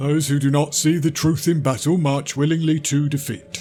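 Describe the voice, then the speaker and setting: Putting on a character voice, a man with fairly high pitch talks at a moderate pace over clear music in the background. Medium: audio drama. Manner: grave, terse.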